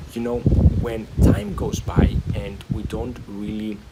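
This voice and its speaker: Through noticeable background noise, a man talks at a fairly slow pace and fairly low pitch with fairly even intonation. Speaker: stuttering recovery video creator. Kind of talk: motivational talk to camera. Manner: hesitant with fillers and repetitions.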